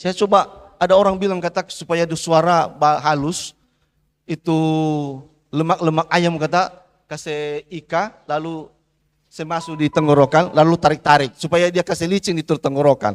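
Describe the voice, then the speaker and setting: Fairly even intonation from a man with a high pitch, in a very clean recording with a silent background and a dry, close sound with no echo. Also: moderate pace. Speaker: pastor. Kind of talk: sermon.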